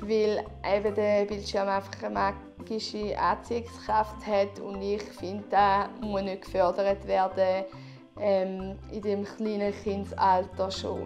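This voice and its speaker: Music plays in the background. The speaker talks very slowly with a Swiss accent. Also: woman. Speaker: parenting vlogger. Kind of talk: casual product review talk to camera.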